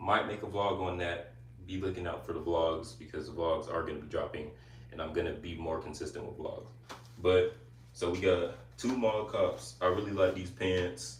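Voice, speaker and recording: A man talks with a very deep, low pitch, vocal fry and lively intonation. Room echo is audible. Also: moderate pace. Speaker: YouTuber live streamer. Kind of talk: casual live stream chat. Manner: casual, chatty.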